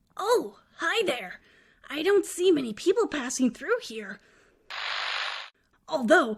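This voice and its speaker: The pace here is moderate. The voice is a cartoonish character voice. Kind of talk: dark storytelling monologue.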